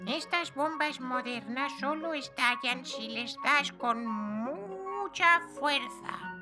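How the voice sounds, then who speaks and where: In a cartoonish character voice, a female-sounding speaker with a high pitch talks at a very slow pace with hardly any pauses while clear music plays in the background. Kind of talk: cartoon comic acting. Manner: impish, sly, teasing.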